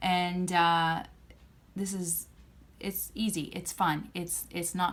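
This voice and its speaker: Her intonation flat and monotone, a woman speaks in a fairly low pitch. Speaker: homeschooling parent vlogger. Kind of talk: tutorial.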